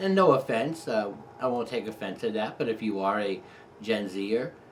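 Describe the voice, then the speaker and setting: Heard over noticeable background noise, the voice moves at a moderate pace with ordinary pitch variation. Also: man, long, frequent pauses. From New York. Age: 50s. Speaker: photography YouTuber. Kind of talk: casual personal storytelling monologue. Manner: pauses between sentences.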